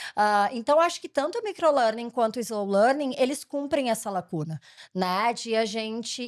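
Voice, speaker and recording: A woman with a southern Brazilian accent speaks at a high pitch with very wide pitch swings. The recording is very clean, with a silent background. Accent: gaúcho accent, still present. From Rio Grande do Sul, southern Brazil. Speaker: education company founder and CEO. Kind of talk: interview.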